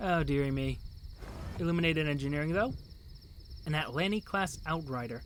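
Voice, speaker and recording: With an American accent, a man speaks at a fairly quick pace but leaves long, frequent pauses. Room echo is audible. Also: fairly high pitch for a man, ordinary pitch variation. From New England, US. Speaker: video game streamer. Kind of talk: live game stream, reading game text aloud. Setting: live stream. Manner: casual, chatty with frequent self-corrections.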